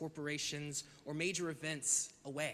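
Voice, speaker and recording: A man's fairly high voice with a bright, sharp tone at a moderate pace. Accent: American. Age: 20s. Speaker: advocacy communications director. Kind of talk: public hearing testimony. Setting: virtual public hearing.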